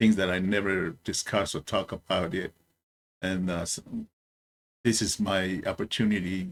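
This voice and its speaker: Speaking in a very deep, low pitch with a Samoan accent, a man keeps a moderate pace and monotone, flat intonation, with long, frequent pauses. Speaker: military veteran commentator. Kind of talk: video commentary. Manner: halting.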